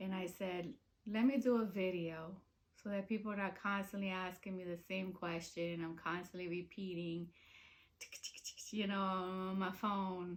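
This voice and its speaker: Her medium-pitched voice moves at a moderate pace as the woman keeps her intonation fairly even. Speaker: video blogger and reborn doll collector. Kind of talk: personal vlog. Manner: halting, many fillers.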